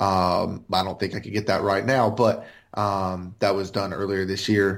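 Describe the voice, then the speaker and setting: At a moderate pace, a man talks with an American accent on a very clean recording with a silent background. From US South, South Carolina. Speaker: podcast co-host and business owner. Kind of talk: casual chat.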